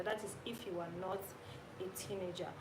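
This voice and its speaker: A woman speaks at a moderate pace. Audible room echo and noticeable background noise are present. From Nigeria. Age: 30s. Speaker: YouTuber. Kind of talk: live stream chat with viewers. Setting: live stream. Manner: animated.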